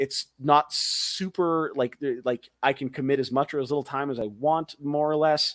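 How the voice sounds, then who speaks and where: Using an ordinary speaking voice, a man with a fairly high pitch talks at a moderate pace with hardly any pauses and fairly even intonation, in a dry, close sound with no echo. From Canada, rural Alberta. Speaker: magician and mentalist. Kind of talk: casual interview chat.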